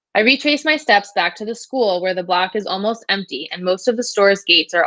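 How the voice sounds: A natural reading voice carries the clip.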